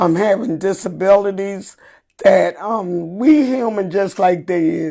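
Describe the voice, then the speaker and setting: A woman's medium-pitched voice, very slow pace, lively intonation. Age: 60s. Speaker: Special Olympics athlete. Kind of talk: interview.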